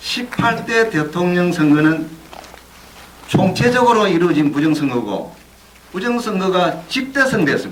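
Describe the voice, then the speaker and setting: Over noticeable background noise and audible room echo, a man talks in a high voice. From South Korea, Busan. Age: 60s. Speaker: whistleblower, former election commission employee and union leader. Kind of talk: speech at a screening event.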